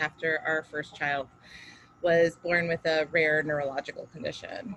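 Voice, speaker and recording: A woman speaks at a fairly quick pace with a fairly low pitch. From US, Queens New York and Miami. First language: Spanish. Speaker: teacher and education advocate. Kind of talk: personal speech at fundraiser.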